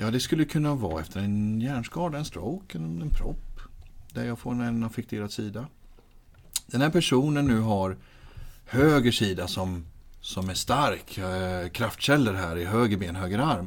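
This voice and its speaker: At a moderate pace and medium pitch, a man with an unremarkable speaking voice talks with lively intonation. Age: 30s. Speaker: physiotherapist and patient-handling trainer. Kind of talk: interview.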